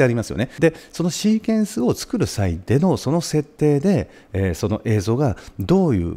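With vocal fry, a man's voice moves through very wide pitch swings. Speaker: presenter. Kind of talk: tutorial. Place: studio.

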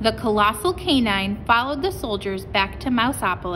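A natural voice, reading aloud

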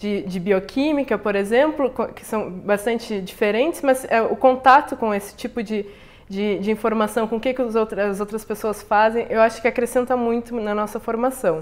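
Here a woman speaks at a moderate pace. Her pitch variation is ordinary. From southern Brazil (Rio Grande, Rio Grande do Sul). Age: young. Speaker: chemical engineering researcher; interviewee. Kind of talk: interview. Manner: halting, frequent repetitions. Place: home room.

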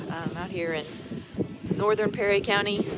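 A woman talks at a moderate pace. There is music in the background, and the sound is dry with no echo. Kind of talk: casual vlog chat. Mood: earnest, grateful. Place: open country. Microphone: phone near.

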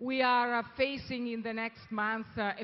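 This is a woman speaking with an Italian accent. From Italy. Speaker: business leader. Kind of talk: welcome speech. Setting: stage with audience at gala. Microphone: handheld.

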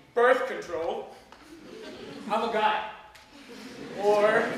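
There is audible room echo and light background noise as a man talks at a high pitch. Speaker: storyteller. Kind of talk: personal storytelling talk to a small audience. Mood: wry, humorous, candid. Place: home room. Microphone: camera far.

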